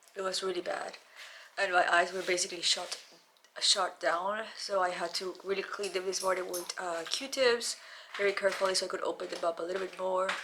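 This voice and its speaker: Noticeable background noise sits behind a woman speaking at a fairly quick pace. Her intonation is monotone and flat. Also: medium pitch for a woman. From Mexico. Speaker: beauty vlogger. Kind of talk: personal video diary.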